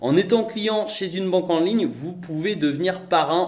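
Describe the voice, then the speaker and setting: A man's voice with audible room echo. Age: 20s. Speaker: online entrepreneur / YouTuber. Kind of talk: sales pitch.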